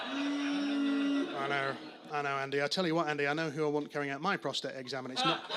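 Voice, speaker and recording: Fairly quick speech from a man, with audible room echo and noticeable background noise. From northern England, Manchester. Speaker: stand-up comedian. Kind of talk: stand-up. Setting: stage with audience. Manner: halting, many fillers and repeats.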